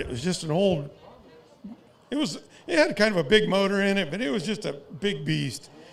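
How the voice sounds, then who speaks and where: A man with an American accent talks at a moderate pace using lively intonation, with audible room echo. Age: 60s. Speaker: race car driver and team owner. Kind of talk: interview.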